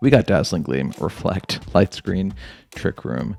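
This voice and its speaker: A quiet man's voice, fairly slow, with lively intonation and music in the background. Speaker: gaming YouTuber. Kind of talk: video game commentary. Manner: quiet, low voice.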